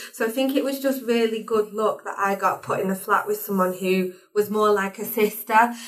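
A woman's fairly high-pitched voice over noticeable background noise. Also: fairly even intonation, moderate pace. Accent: strong northern English. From Warrington, northern England. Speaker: higher education engagement assistant. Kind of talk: casual chat.

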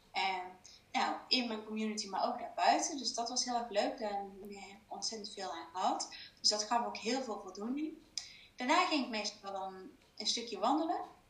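A woman speaks with lively intonation at a fairly high pitch. Audible room echo surrounds her voice. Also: moderate pace, big swings in loudness. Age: 30s. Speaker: business coach. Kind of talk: interview. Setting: video call. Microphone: echo in room.

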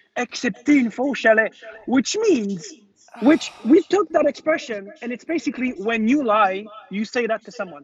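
Moving at a fairly slow pace, a man's voice makes very wide pitch swings. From Quebec. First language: French. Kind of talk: casual chat. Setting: video call.

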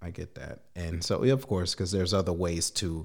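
On a very clean recording with a silent background, pitch varies in an ordinary way. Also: man. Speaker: podcast host. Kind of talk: casual interview.

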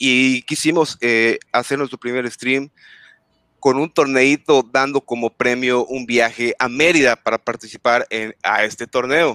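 A fairly slow voice with a bright, sharp tone and fairly even intonation. The sound is dry and close with no echo, on a very clean recording with a silent background. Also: man, medium pitch for a man. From Yucatán, Mexico. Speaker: gaming content creator. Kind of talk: casual chat.

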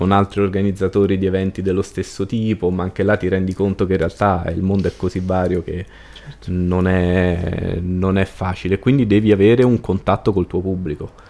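Against noticeable background noise, a man with a very deep, low pitch speaks at a moderate pace in a flat monotone. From Rome, Italy. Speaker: cultural events organizer. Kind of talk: casual interview conversation.

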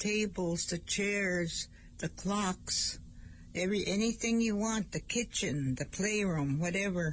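Speaking at a very slow pace, a woman with an Ojibwe accent sounds somewhat breathy. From northern Minnesota reservation. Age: 70s. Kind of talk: language lesson on community radio. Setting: radio studio. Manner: halting.

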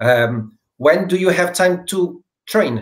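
Speaking with a Portuguese accent at a very slow pace, the voice shows ordinary pitch variation. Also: man. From Portugal. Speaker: podcast host. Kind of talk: interview. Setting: video call.

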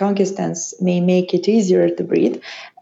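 The speaker has a Serbian accent, and noticeable background noise can be heard. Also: woman. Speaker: allergist and immunologist. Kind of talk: interview. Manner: halting.

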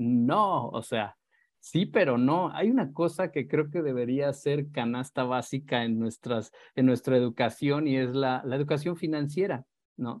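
This man's medium-pitched voice moves along at a fairly slow speed. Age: 30s. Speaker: pet photographer. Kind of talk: interview. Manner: halting.

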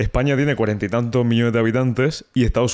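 On a very clean recording with a silent background, a man with an unremarkable speaking voice talks fairly quickly at a medium pitch with fairly even intonation. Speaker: podcast host. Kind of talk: casual interview. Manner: casual.

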